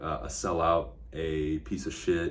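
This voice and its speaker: A man's voice with audible room echo. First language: Spanish. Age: 30s. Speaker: real estate agent and online commentator. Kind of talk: casual political commentary vlog. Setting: office. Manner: blunt, casual, with frequent fillers.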